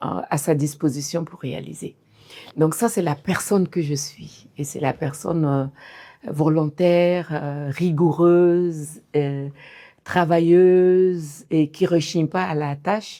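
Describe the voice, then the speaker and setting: A woman speaks very slowly in a very deep, low voice with a dark, mellow tone and fairly even intonation, recorded very cleanly against a silent background. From Mali. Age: 60s. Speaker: fashion designer and entrepreneur. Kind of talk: interview testimony.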